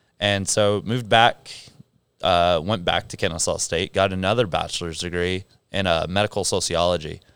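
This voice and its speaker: The recording is very clean, with a silent background. A man speaks in a very deep, low pitch with fairly even intonation. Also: moderate pace. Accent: American. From southern California, San Clemente. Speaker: gym head coach. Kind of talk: casual interview chat. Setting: studio podcast.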